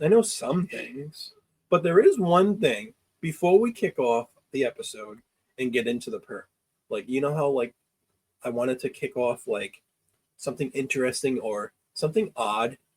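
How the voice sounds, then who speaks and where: The voice is somewhat breathy, with very wide pitch swings. Long, frequent pauses break up the speech. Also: man, fairly high pitch for a man, moderate pace, dry, close sound with no echo. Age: 40s. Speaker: podcast host. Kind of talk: casual chat. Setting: basement recording room.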